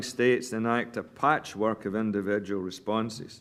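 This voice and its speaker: Against a quiet background, a man with a Scottish accent speaks at a medium pitch and moderate pace. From Scotland. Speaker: physician, medical association chair. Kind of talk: press statement. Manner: formal.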